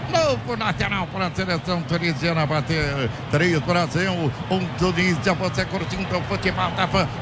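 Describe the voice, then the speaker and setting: Amid noticeable background noise and audible room echo, a man speaks at a high pitch and moderate pace, with very even loudness and ordinary pitch variation. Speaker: football radio play-by-play announcer. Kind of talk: live commentary.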